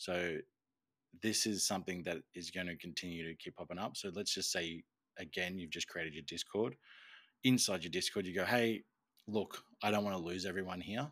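Very deep and low, this man's voice carries an Australian accent, moving at a moderate pace with ordinary pitch variation. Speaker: podcast co-host. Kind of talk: casual chat.

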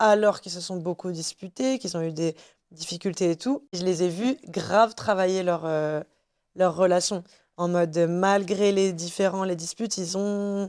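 A woman speaks at a fairly slow pace in a plain, everyday voice, her pitch in the medium range. The recording is very clean, with a silent background. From Tunisia. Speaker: podcast guest. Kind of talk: casual chat.

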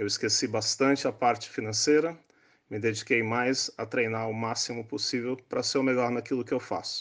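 Against a quiet background, a man with an unremarkable speaking voice talks at a moderate pace and medium pitch, with fairly even intonation. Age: 60s. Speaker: neurosurgeon. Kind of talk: interview explaining science.

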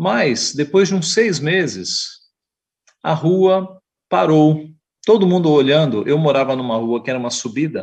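Using an ordinary speaking voice, a man talks at a fairly slow pace in a fairly high pitch with lively intonation. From Brazil, São Paulo (east zone). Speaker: pastor. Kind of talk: Sunday school lesson. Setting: online church broadcast.

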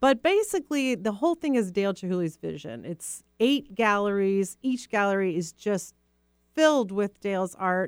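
Lively intonation from a woman with an American accent at a medium pitch and moderate pace, an unremarkable speaking voice. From US, Rochester New York. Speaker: museum executive director. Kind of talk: radio interview. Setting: radio studio.

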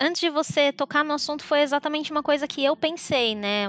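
With ordinary pitch variation, a woman talks at a moderate pace over a quiet background. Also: dry, close sound with no echo. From São Paulo state, Brazil (São Bernardo do Campo). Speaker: podcast guest, digital marketer. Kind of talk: casual chat.

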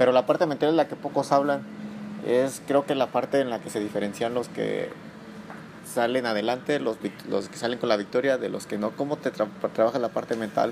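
Noticeable background noise behind a man at medium pitch, fairly even intonation and a fairly quick pace. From Salamanca, Guanajuato, Mexico. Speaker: podcast host. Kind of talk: casual interview. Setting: gym after training.

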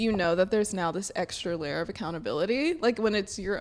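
Fairly quick in pace, a woman speaks at a medium pitch with ordinary pitch variation and a slight Southern US accent. The recording is very clean, with a silent background. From Alabama, Sylacauga. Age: 20s. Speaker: podcast co-host. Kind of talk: casual chat.

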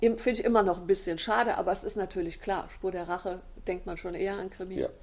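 A woman speaks with ordinary pitch variation. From Westerwald, Germany (Hachenburg). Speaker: crime novelist and press officer. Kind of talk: interview. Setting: library. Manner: hesitant, many filler sounds.

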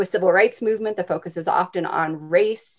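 At a moderate pace and medium pitch, a woman speaks in a normal speaking voice over a very clean recording with a silent background. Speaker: professor. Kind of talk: academic interview.

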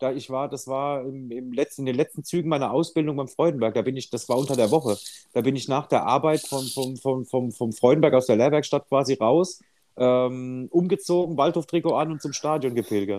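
At a moderate pace, a man talks in a medium pitch with a dark, mellow tone. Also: ordinary pitch variation. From Odenwald, southern Hesse (Birkenau). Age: 30s. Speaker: podcast co-host. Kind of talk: casual chat.

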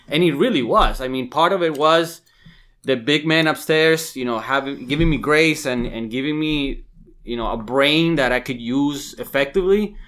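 A man talks in a plain, everyday voice. His pitch varies in an ordinary way. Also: fairly high pitch for a man, moderate pace, very clean recording, silent background. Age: 30s. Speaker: real estate agent. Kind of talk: casual chat.

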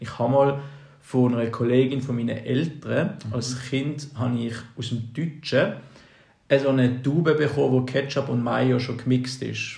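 A man's medium-pitched, somewhat breathy voice at a moderate pace, with fairly even intonation and audible room echo. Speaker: podcast co-host. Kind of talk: casual chat.

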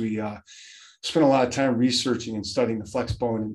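Fairly even intonation marks a man's unremarkable speaking voice at a medium pitch. He talks at a fairly quick pace. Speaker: high school football coach. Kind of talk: casual interview chat.

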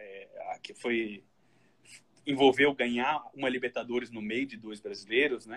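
A man's normal speaking voice at medium pitch, fairly slow, with fairly even intonation and big swings in loudness. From Brazil, Santa Catarina (Florianópolis). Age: 30s. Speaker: football statistician. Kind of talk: casual chat.

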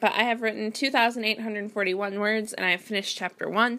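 A woman's fairly high voice in an American accent, bright and sharp in tone. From US Midwest, Wisconsin. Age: 20s. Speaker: writer and podcast host. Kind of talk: casual solo monologue. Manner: rambling, conversational.

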